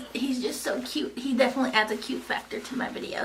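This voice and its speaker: A woman speaks with a Kentucky accent and lively intonation. Audible room echo surrounds her voice. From US South, Eastern Kentucky. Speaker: lifestyle vlogger. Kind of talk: casual chat. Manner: animated.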